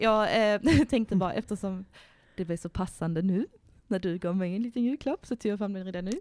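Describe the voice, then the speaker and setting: At a fairly quick pace, a woman with a medium pitch talks in an ordinary speaking voice, in a very clean recording with a silent background and a dry, close sound with no echo. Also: ordinary pitch variation. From Värmland, Sweden. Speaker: podcast host. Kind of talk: casual chat.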